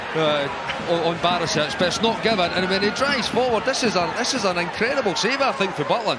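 A man's high, raised and projected voice, animated and lively in intonation, at a fairly quick pace with very even loudness over noticeable background noise. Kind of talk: football co-commentary, analysing replays. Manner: animated, analytical, fluent with some stumbles and repeated words.

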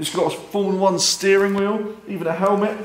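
The speech moves at a moderate pace. Room echo is audible throughout. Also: man. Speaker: car show host. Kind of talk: casual vlog chat. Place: garage.

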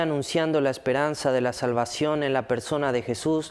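A man talks at a fairly quick pace with fairly even intonation. His tone is clear, smooth and slightly mellow.

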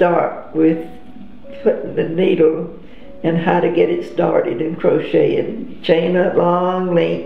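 A woman at a fairly slow pace, with audible room echo and light background noise. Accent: American. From Georgia, USA. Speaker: grandmother interviewee. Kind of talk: interview answer. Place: home room.

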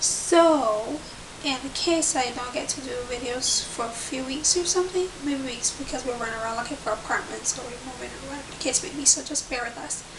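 Over noticeable background noise, a woman talks at a moderate pace in a high pitch, with ordinary pitch variation and big swings in loudness. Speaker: pregnancy vlogger. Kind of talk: casual vlog chat. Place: home room. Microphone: webcam.

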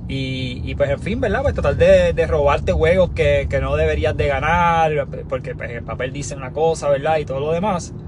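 There is noticeable background noise as a man talks with hardly any pauses. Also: moderate pace, dry sound with no echo. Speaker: sports podcast host. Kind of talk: casual sports commentary. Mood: frustrated, analytical. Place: car. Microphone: phone near.

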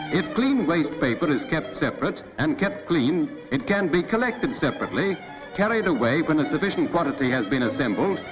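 With clear music playing in the background, a man talks at a fairly quick pace in a high pitch. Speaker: documentary narrator. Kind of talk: newsreel-style narration. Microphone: old recording.

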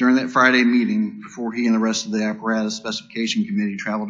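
Quiet background behind a man speaking. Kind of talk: eulogy. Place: church. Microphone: podium.

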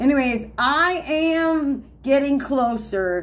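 Over a little background noise, a woman's intonation rises and falls in a lively way. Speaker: denture wearer vlogger. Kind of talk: casual vlog chat. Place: home room. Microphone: phone near.

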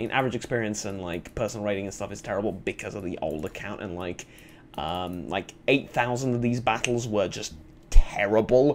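At a fairly quick pace, a man speaks in a fairly low pitch with ordinary pitch variation and big swings in loudness. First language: not English. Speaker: gaming youtuber. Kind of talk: let's play commentary.

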